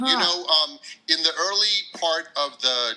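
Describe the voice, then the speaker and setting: A man with an American accent speaks at a fairly high pitch with very wide pitch swings. Noticeable background noise runs behind him. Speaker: English teacher. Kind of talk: podcast interview answer. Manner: casual, hesitant.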